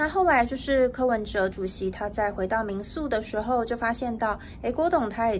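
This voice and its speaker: A woman speaks at a moderate pace in a fairly high voice with ordinary pitch variation. Light background noise sits behind her. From Taiwan. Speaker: news reporter. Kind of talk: news report. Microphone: phone near.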